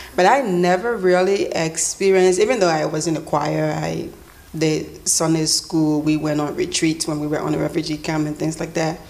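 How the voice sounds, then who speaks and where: Over noticeable background noise, a woman with a very deep, low voice talks at a moderate pace with fairly even intonation. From Liberia. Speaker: church member. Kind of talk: testimony. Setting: stage with live audience.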